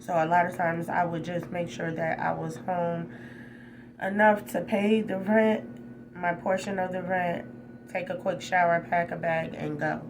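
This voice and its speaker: A woman talks at a moderate pace in a fairly low voice. Audible room echo and noticeable background noise fill the recording. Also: ordinary pitch variation. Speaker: spiritual vlogger. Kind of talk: personal vlog testimony. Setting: hotel room. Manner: loud, animated.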